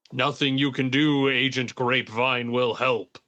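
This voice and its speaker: A man puts on a booming character voice at a medium pitch. His delivery is monotone and flat at a moderate pace. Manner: authoritative.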